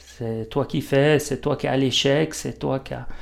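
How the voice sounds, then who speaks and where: Here is a man with an ordinary speaking voice at a medium pitch. His pitch variation is ordinary. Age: 50s. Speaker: stonemason. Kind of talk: casual interview. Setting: workshop.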